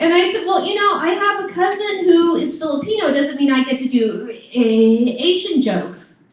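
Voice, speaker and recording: At a moderate pace with hardly any pauses, the voice makes very wide pitch swings against noticeable background noise. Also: woman, extremely high pitch for a woman. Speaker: stand-up comedian. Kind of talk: stand-up. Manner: stutter.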